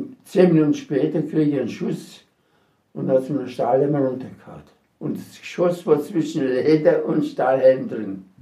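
At a moderate pace, a man with a fairly high pitch and a dark, mellow tone speaks with vocal fry, ordinary pitch variation and big swings in loudness. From Sudetenland (Silesia, now Czechia). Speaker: war veteran. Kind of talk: testimony. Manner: halting.

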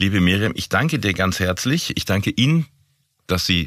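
The very clean recording has a silent background and a dry, close sound with no echo, carrying a man's very deep, low voice with very wide pitch swings. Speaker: podcast host, corporate communications. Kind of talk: interview podcast.

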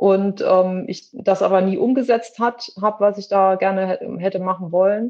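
A woman talks in an unremarkable speaking voice at a fairly slow pace, with hardly any pauses. Her pitch is medium and her intonation fairly even. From western Germany. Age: 50s. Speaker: theatre costume maker. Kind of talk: interview.

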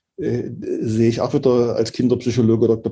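In a dark, mellow, somewhat breathy tone, a man speaks at a medium pitch with monotone, flat intonation. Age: 60s. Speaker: pianist, composer and conductor. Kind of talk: interview. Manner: hesitant, many filler sounds.

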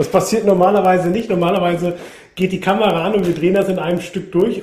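A man rattles through his words at a very fast pace, with audible room echo and noticeable background noise. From Münsterland, Germany. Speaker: TV camping presenter. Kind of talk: interview.

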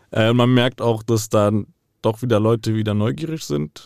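On a very clean recording with a silent background and a dry, close sound with no echo, a man with an ordinary speaking voice talks at a fairly quick pace with fairly even intonation. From Frankfurt, Hesse, Germany. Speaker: meme page creator. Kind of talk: interview. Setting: studio.

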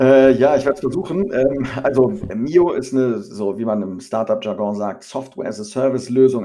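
With a dark, mellow tone and very wide pitch swings around a medium pitch, a man talks at a moderate pace. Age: 30s. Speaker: startup founder. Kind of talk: interview.

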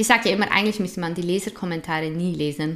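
A woman's voice, fairly low in pitch. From Switzerland. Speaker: influencer and activist. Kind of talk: interview.

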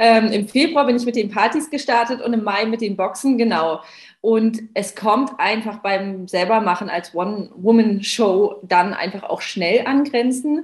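Somewhat breathy, a woman speaks fairly slowly at a fairly high pitch with ordinary pitch variation. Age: 30s. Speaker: founder of a cupcake business. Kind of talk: casual interview.

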